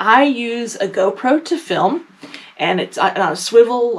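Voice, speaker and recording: The speaker is a woman. There is noticeable background noise behind her. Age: 50s. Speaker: quilting YouTuber. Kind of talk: casual talk to camera. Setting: home basement recording room. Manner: fast; filler words, says um often.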